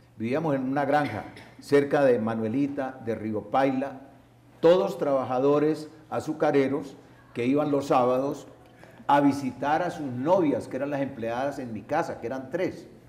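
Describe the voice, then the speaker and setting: At a fairly slow tempo, the speech has a dark, mellow tone. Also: man, fairly high pitch for a man, ordinary pitch variation. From Colombia, Medellín and Palmira (Valle del Cauca). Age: 70s. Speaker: salsa radio broadcaster and cultural promoter. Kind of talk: public interview before audience. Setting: university auditorium with audience. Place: stage.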